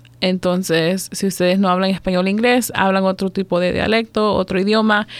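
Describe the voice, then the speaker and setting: A woman at a moderate pace, medium in pitch, with monotone, flat intonation. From El Salvador, then Maryland from age 7-8. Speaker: domestic violence outreach supervisor. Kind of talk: radio interview.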